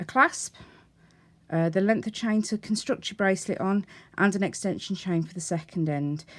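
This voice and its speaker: A woman's unremarkable speaking voice, medium in pitch, at a moderate pace with ordinary pitch variation, in a very clean recording with a silent background. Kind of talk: tutorial. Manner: casual, conversational.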